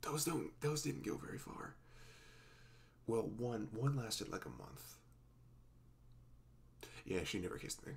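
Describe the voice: A man's put-on character voice, fairly low in pitch with vocal fry and big pitch swings, at a slow pace with long, frequent pauses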